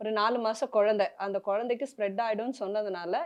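A woman talks in a normal speaking voice. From Chennai, India. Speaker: serial actress. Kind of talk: emotional interview.

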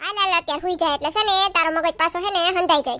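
In a put-on character voice, a woman squeaks at an extremely high pitch, talking very fast with fairly even intonation. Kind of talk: family comedy sketch. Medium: comedy sketch. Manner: teasing, dismissive.

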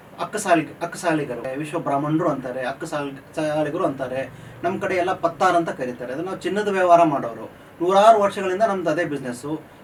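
Noticeable background noise accompanies a man whose fairly high pitch varies in an ordinary way. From North Karnataka, Gokak (Belgaum district). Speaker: chartered accountant and entrepreneur. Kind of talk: interview.

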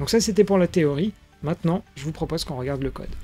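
With faint music playing behind him, a man speaks with ordinary pitch variation. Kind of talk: tutorial.

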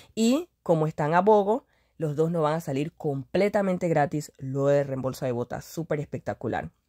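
Very deep and low for a woman, her voice has a dark, mellow tone, lively intonation and a moderate pace. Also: dry, close sound with no echo. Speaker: couponing vlogger. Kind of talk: product deals tutorial.

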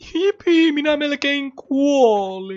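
A put-on character voice, high-pitched and whiny, with a whiny tone. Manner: annoying, whiny.

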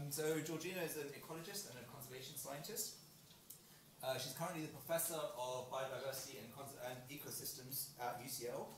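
Audible room echo, light background noise, and a fairly quick pace. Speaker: seminar organiser. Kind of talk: speaker introduction. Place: hall.

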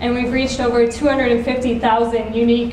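With audible room echo and light background noise, a woman speaks at a fairly high pitch in a monotone, flat intonation. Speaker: nonprofit social media manager. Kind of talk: conference talk. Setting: stage with audience. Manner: soft-spoken. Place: stage. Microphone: camera far.

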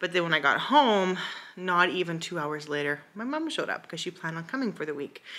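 Her tone bright and sharp, a woman talks fairly quickly at a fairly low pitch, her loudness swinging widely. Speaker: mom vlogger. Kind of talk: casual vlog chat. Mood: relaxed, chatty. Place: home room. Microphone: phone near.

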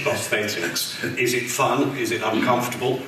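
A man talks at a moderate pace. Audible room echo and light background noise surround the voice. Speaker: convention interviewer. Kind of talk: interview on stage. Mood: cheerful, animated. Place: hall.

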